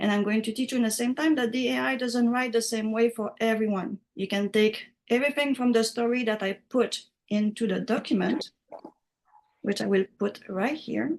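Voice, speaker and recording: Speaking with a French accent, a woman talks at a moderate pace in a fairly high pitch. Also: ordinary pitch variation. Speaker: writing software instructor. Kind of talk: online class tutorial.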